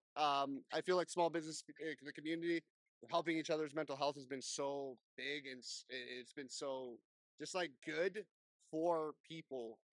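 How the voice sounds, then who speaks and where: The speaker has an unremarkable speaking voice with fairly even intonation and a moderate pace. Loudness swings widely from moment to moment. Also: man, fairly high pitch for a man, dry, close sound with no echo. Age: 30s. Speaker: podcast host. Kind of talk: casual interview. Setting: business showcase event at a casino.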